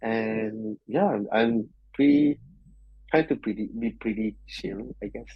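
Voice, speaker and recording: A man with a Malaysian accent speaks at a medium pitch. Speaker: software engineer. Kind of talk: interview podcast. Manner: loud.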